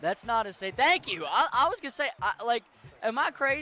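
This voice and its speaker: In a raised, projected voice with an American accent, a man speaks at a fairly quick pace with very wide pitch swings. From western Maryland / Pittsburgh area. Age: 20s. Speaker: video game streamer. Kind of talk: casual gaming livestream chat. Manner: casual, profane.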